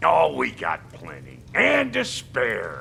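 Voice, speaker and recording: Putting on a raspy, gruff character voice, a man talks at a very slow pace over clear background noise. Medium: video game. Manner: gruff, streetwise, crude.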